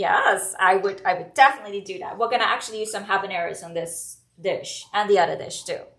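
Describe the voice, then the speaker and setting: A woman with a Trinidadian accent talks very fast at a medium pitch, with hardly any pauses. Her loudness swings widely while her intonation stays fairly even. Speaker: home cook and food blogger. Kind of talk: live cooking demo.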